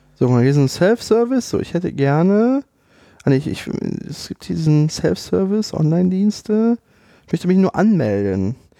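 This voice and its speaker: Dark, mellow tone at a moderate pace, with very wide pitch swings and a dry, close sound free of echo. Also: man, high pitch for a man. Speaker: podcast co-host. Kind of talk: casual chat. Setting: studio.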